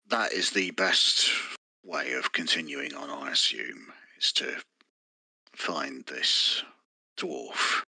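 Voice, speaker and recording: A man's put-on character voice at a very slow pace, full of long, frequent pauses. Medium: actual play. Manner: smooth, wry.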